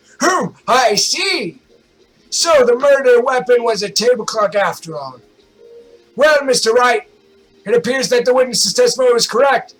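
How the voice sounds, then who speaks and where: In a put-on character voice of extremely high pitch, a man talks at a moderate pace with lively intonation. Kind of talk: formal courtroom speech. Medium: game stream.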